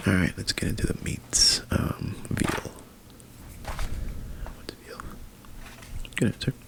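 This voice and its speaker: A man whispering in a gentle tone at a very slow pace, with long, frequent pauses and noticeable background noise. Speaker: therapist (roleplay). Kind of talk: ASMR roleplay. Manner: whispered, gentle.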